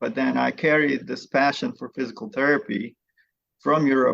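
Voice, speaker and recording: A man with a Bosnian accent speaks at a moderate pace. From Bosnia, Sarajevo. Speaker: physical therapy professor. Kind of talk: podcast interview.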